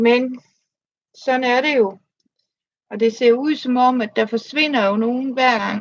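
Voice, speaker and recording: A woman with a Danish accent speaks at a high pitch, with long, frequent pauses. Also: fairly even intonation, moderate pace. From Denmark. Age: 50s. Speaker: crafts livestreamer. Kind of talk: casual livestream chat. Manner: halting.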